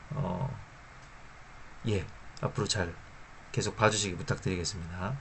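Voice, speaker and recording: Speaking at a moderate pace with long, frequent pauses, a man with a fairly low pitch and ordinary pitch variation is heard against audible room echo. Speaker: finance YouTuber. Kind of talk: informal lecture to camera. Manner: hesitant, many fillers.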